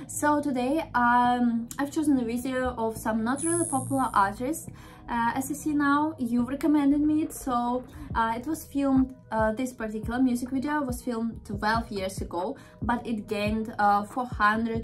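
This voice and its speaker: A woman's high voice with ordinary pitch variation, at a moderate pace, with light background noise. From Russia. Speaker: reaction video host. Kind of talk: casual talk to camera, reaction video. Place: home room.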